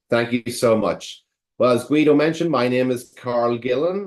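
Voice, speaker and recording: This man has an Irish accent and ordinary pitch variation. He talks at a moderate pace. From Ireland. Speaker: attorney and bar prep director. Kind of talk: webinar presentation.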